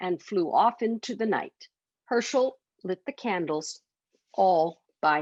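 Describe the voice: Lively intonation in plain reading aloud, set against a quiet background.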